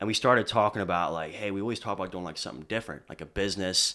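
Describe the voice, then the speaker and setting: Captured in a very clean recording with a silent background, a man with an American accent talks in a bright, sharp tone with ordinary pitch variation. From Lebanon, Pennsylvania. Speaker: DJ. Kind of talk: casual interview chat. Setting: studio.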